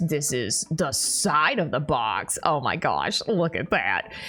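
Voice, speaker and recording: A woman with a very deep, low voice speaks at a fairly slow pace with lively intonation while music plays in the background. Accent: Southern US. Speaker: YouTuber. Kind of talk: unboxing video. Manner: casual, rambling with filler words. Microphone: audio sounded bad, heavily processed.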